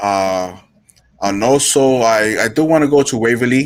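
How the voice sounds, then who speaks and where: Speaking with an American accent, a man varies his pitch in an ordinary way. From New York. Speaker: paranormal investigator and urban explorer. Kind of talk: casual chat on live talk show. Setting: live stream video call. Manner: halting, repeats words.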